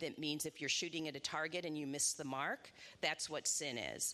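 A woman with a Midwestern American accent, very deep and low in pitch, with ordinary pitch variation and a bright, sharp tone, against a quiet background. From Indiana, Indianapolis. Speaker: rabbi. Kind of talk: onstage interview in church.

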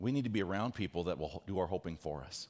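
Over a silent background in a very clean recording, a man talks at a fairly quick pace with vocal fry and very wide pitch swings. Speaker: pastor. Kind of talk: sermon. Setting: church. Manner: fast.

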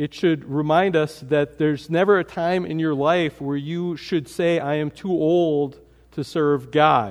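Against a quiet background, a man talks at a fairly slow pace, his fairly high pitch showing ordinary variation. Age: 40s. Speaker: pastor. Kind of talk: sermon. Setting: church. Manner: halting.

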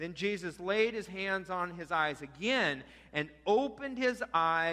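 Delivered in an unforced reading voice, the speech has lively intonation.

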